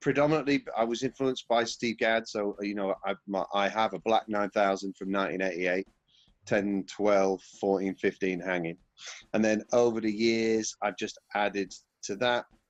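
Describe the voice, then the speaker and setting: In a Yorkshire accent, a man speaks at a moderate pace with a fairly low pitch and fairly even intonation. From Yorkshire, northern England. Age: 40s. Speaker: session drummer. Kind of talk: casual interview. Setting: at home.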